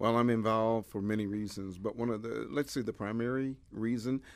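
With an American accent, a man speaks at a medium pitch and a moderate pace, his intonation fairly even. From Detroit, Michigan. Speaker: local business owner and community volunteer. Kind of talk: interview. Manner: hesitant, many filler words.

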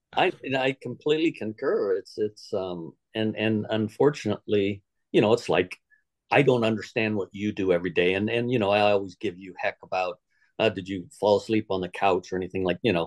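A man with an American accent speaks in a normal speaking voice, fairly low in pitch with ordinary pitch variation, at a fairly quick pace. The sound is dry and close with no echo, over a quiet background. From Southern California. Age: 60s. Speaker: equine veterinarian. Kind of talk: interview.

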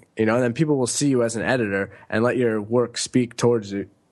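A plain, everyday voice in an American accent, fairly quick in pace, with ordinary pitch variation. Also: man. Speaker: author and digital nomad. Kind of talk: casual interview.

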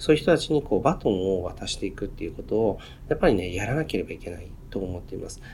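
A man speaks very fast in a somewhat breathy, fairly low voice, with very wide pitch swings and big swings in loudness. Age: 40s. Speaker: podcast host and company executive. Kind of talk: casual monologue. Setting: office. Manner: halting, many filler words.

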